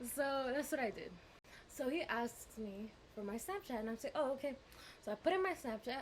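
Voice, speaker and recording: A woman speaks loudly at a fairly quick pace with a high pitch and a bubbly, animated tone. Her intonation is lively, broken by long, frequent pauses. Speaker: vlogger. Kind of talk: storytime vlog. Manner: loud, bubbly.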